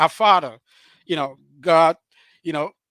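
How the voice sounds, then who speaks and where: In a Cameroonian French accent, a man speaks at a moderate pace and fairly high pitch, his tone bright and sharp with ordinary pitch variation. The recording is very clean, with a silent background and a dry, close sound with no echo. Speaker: author and relationship speaker. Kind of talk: interview on live stream. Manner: halting, many fillers.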